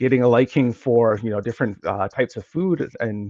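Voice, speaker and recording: A man with an American accent talks, his pitch varying in an ordinary way. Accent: slight, fading Minnesotan. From Minnesota, US. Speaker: geographer, academic. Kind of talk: podcast interview.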